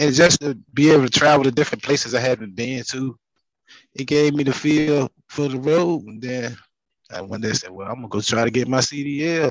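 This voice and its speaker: A man talks at a fairly quick pace with an American accent, in an ordinary speaking voice at medium pitch. His pitch varies in an ordinary way, and the sound is dry and close with no echo. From Virginia (Southampton County, Emporia). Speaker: truck driver. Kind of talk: casual chat.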